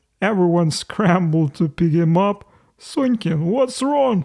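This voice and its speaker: This is a put-on character voice at a middle pitch. It moves at a fairly slow pace. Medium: read story. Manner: chuckling, comic.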